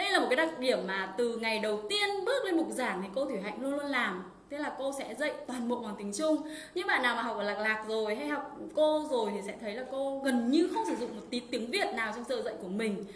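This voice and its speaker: A woman speaks at a high pitch and a fairly quick pace with lively intonation. Audible room echo surrounds her voice. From Vietnam. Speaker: Chinese language teacher. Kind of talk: live-streamed language lesson. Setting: livestream online. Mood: warm, encouraging. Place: home room. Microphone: webcam.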